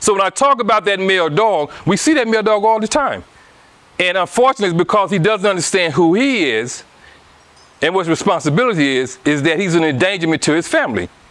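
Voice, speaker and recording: Over noticeable background noise, a man talks at a very fast pace in a high pitch, his intonation lively and his loudness very even. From US South, Anniston, Alabama. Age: 60s. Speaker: guest speaker on relationships. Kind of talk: casual interview talk.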